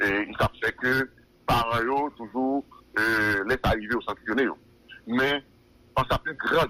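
Heard dry and close with no echo, a man speaks fairly slowly at a medium pitch with ordinary pitch variation. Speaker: police spokesperson. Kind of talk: phone interview. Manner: halting, many hesitations.

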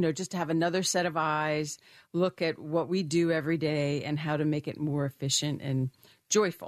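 Against a quiet background, a woman with a very deep, low pitch speaks in a monotone, flat way at a moderate pace. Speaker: financial firm founder and wellness expert. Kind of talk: casual chat. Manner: warm, chatty, friendly.

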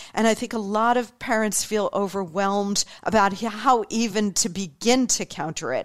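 A woman with a fairly high pitch and an animated tone speaks at a moderate pace with ordinary pitch variation and hardly any pauses, in a very clean recording with a silent background. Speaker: political podcast host. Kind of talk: political commentary monologue.

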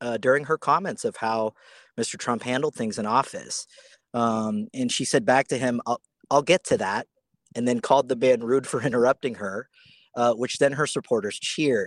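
At a moderate pace, a man with a plain, everyday voice uses lively intonation in a dry, close sound with no echo. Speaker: radio reporter. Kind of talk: live news reporting from the scene. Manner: conversational yet polished, steady, informal fillers.

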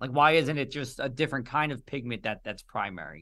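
Against a quiet background, a man with a New Jersey accent speaks at a fairly quick pace in a fairly high pitch with ordinary pitch variation. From New Jersey (Union). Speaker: meteorologist, podcast co-host. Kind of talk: interview.

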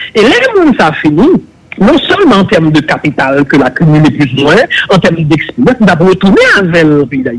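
Noticeable background noise sits behind a man's voice. He speaks high for a man, with lively intonation. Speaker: public official on investigative body. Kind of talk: political talk show discussion.

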